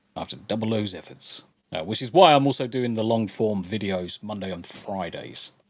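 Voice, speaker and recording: A man with a British accent, fairly quick, with lively intonation. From Essex, near London. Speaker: streamer.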